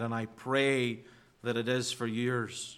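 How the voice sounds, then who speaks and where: In a very clean recording with a silent background, a man talks at a medium pitch, very slowly and in a flat monotone, with a bright, sharp tone. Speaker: pastor. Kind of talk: sermon. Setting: church.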